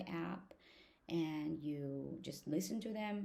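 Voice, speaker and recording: With a non-native accent, a woman speaks in a dark, mellow tone. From outside the US, foreign-educated immigrant. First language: not English. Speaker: law student and vlogger. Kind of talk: casual vlog talk to camera. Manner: halting, with many fillers.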